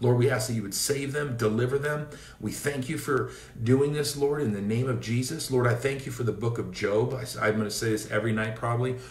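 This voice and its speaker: With an American accent, a man talks at a fairly quick pace and with fairly even intonation, with audible room echo around him. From US Pacific Northwest, Seattle area. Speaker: evangelist preacher; minister. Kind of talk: informal preaching; prayer and exhortation livestream. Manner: hesitant fillers. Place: home room. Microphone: phone near.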